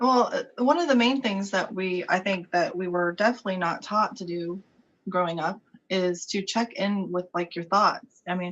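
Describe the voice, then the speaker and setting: At a moderate pace, a woman with an American accent uses ordinary pitch variation at medium pitch, in an ordinary speaking voice. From US South. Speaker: author and subconscious-mind coach. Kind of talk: interview.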